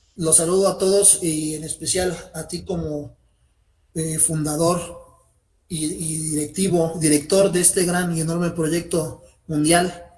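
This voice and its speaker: A man with a high pitch speaks at a very slow pace, with long, frequent pauses. His monotone, flat intonation carries audible room echo. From Mexico. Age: 40s. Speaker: channel member, beginner in magic. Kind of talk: interview. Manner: formal.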